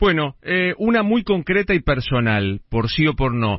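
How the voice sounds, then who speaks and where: A man talks with a fairly high pitch that swings very widely up and down. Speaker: radio host, journalist. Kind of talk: radio interview.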